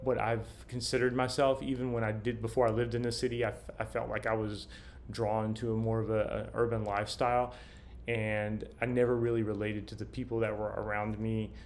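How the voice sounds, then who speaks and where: Amid audible room echo, a man with a Southern US accent talks at a fairly quick pace and medium pitch, in a monotone, flat intonation. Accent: faint Southern US. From US South. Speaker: vlogger. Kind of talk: casual monologue. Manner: halting, many fillers and restarts.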